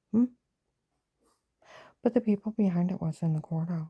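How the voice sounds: A woman at a fairly low pitch with a slightly husky edge, ordinary pitch variation and moderate pace, in a dry, close sound with no echo.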